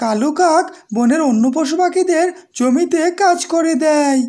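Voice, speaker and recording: A woman uses a cartoonish character voice pitched extremely high. She speaks at a fairly slow pace. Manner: friendly, courteous.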